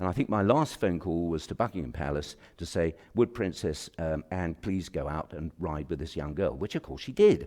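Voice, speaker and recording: In a British accent, a man with a very deep, low pitch and vocal fry speaks at a moderate pace with lively intonation and hardly any pauses. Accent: BBC-style English (RP). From England, Kent. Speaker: president of a professional institute. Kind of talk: formal speech. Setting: auditorium with audience. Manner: halting, many fillers.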